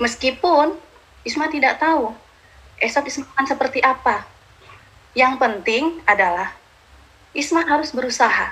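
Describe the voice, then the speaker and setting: A woman speaks at a moderate pace in a high pitch, with noticeable noise in the background. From Madura, Indonesia. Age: 30s. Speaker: motivational speaker. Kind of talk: motivational talk. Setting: live stream.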